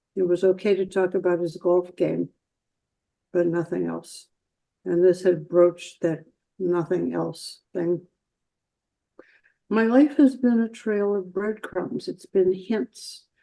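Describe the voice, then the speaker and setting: A woman speaks at a very slow pace with long, frequent pauses. Her dark, mellow tone has ordinary pitch variation. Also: medium pitch for a woman. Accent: American. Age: 80s+. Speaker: artist with synesthesia. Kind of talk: interview.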